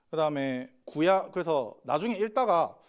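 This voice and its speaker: Here a man speaks at a fairly high pitch. His voice makes very wide pitch swings. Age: 30s. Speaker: pastor. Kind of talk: sermon.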